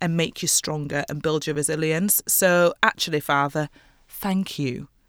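The speaker has a Yorkshire accent and a fairly slow pace. The recording is very clean with a silent background and a dry, close sound with no echo. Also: woman. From northern England, West Yorkshire (Mirfield near Leeds). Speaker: fashion designer and artist. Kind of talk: casual interview.

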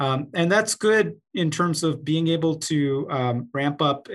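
In an ordinary speaking voice, a man with a fairly high pitch and ordinary pitch variation speaks at a fairly slow pace on a very clean recording with a silent background. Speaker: co-host, oncologist. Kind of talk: interview conversation.

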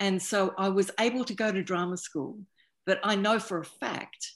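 Against a quiet background, a woman with an Australian accent speaks fairly slowly at a medium pitch. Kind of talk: panel discussion. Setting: video call.

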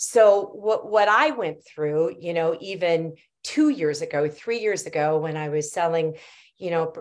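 This woman has an ordinary speaking voice with a fairly low pitch. She talks at a fairly slow pace, with ordinary pitch variation. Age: 50s. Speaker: cannabis entrepreneur and CEO. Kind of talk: podcast interview.

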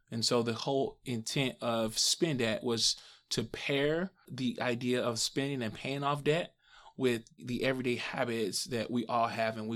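A man talks at a medium pitch with ordinary pitch variation and an American accent. The recording is very clean, with a silent background. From Missouri, St. Louis. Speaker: app startup founder. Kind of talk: interview. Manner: hesitant with fillers.

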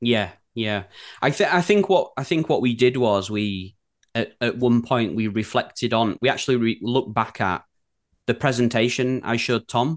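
Against a quiet background, a man with a Yorkshire accent talks at a moderate pace, medium pitch and ordinary pitch variation. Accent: broad Yorkshire. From Yorkshire, England. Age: 30s. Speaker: design studio co-founder. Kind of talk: casual chat. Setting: video call.

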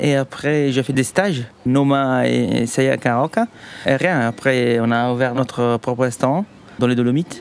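Speaking very slowly, a man has an Italian accent. His voice sits at a medium pitch with fairly even intonation. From southern Italy, Sardinia. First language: Italian (speaking French). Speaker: chef. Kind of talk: interview. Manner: halting.

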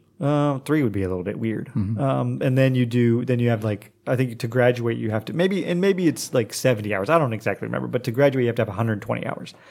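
A man with an American accent at a medium pitch, talking very fast with hardly any pauses, over noticeable background noise. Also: ordinary pitch variation. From US, Oklahoma. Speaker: English teacher and writer. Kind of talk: casual chat.

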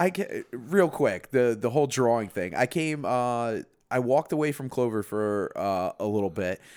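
On a very clean recording with a silent background, a normal speaking voice moves at a fairly slow pace with lively intonation. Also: man. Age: 30s. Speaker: podcast co-host, father. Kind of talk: casual chat.

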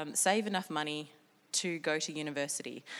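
Her pitch moves in an ordinary way. The woman keeps a moderate pace. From Sydney, North Shore. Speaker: business leader, innovation and risk expert. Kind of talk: talk to a live audience. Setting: stage with audience.

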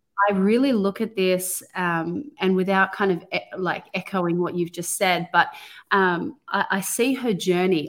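The background is silent and the recording very clean. An unremarkable speaking voice goes at a fairly slow pace, its pitch varying in an ordinary way. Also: woman. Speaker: podcast co-host, women's ministry teacher. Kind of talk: casual faith discussion, Bible study.

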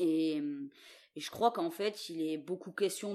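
A woman talks with ordinary pitch variation. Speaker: visual artist. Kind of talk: interview. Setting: recorded at home during lockdown. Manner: halting, many repetitions.

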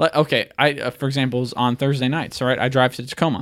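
Speaking very fast at a medium pitch, a man is heard on a very clean recording with a silent background. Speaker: guest co-host of sports podcast. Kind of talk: casual chat, profane banter. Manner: casual, interrupting, animated.

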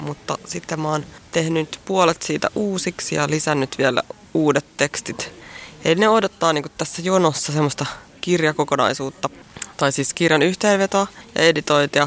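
The speech moves at a moderate pace with ordinary pitch variation. The sound is dry and close with no echo, but background noise is noticeable. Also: woman, very deep, low pitch for a woman. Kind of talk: poem reading, performed verse; casual interview chat. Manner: rhythmic, expressive delivery.

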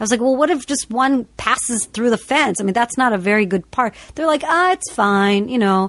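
In a quiet background, a woman with an American accent and a plain, everyday voice talks at a fairly quick pace, fairly high in pitch, with lively intonation. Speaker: podcast host. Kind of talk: casual chat and storytelling.

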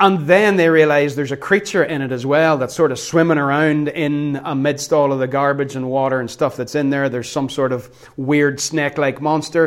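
A man's normal speaking voice, fairly high in pitch, with fairly even intonation and a moderate pace. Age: 40s. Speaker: pastor. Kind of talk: sermon.

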